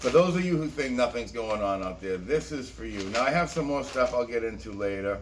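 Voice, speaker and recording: The voice carries an animated tone. Audible room echo surrounds it. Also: man. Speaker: conspiracy video host. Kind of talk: casual monologue commentary.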